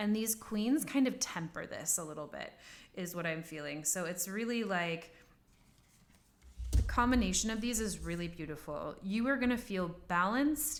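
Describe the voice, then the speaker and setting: Audible room echo surrounds a woman speaking at a moderate pace in an animated tone with lively intonation. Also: medium pitch for a woman. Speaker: tarot reader. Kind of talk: tarot reading.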